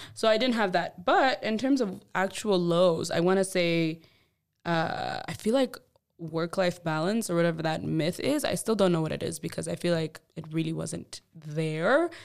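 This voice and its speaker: This woman has an unremarkable speaking voice at a fairly low pitch. She talks at a moderate pace with ordinary pitch variation. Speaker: podcast co-host. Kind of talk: casual chat.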